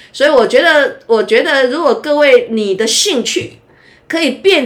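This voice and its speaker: The pitch of this woman's speech rises and falls across a very wide range. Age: 60s. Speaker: university professor. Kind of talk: casual interview chat. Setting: recorded during beauty appointment.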